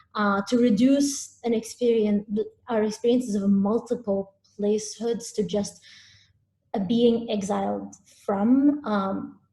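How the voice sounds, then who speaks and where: Fairly slow and somewhat breathy, a woman speaks in a fairly high voice with a dark, mellow tone and fairly even intonation. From UAE, Abu Dhabi area, Syrian-Palestinian family. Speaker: visual artist. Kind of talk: artist talk presentation. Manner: hesitant, many fillers.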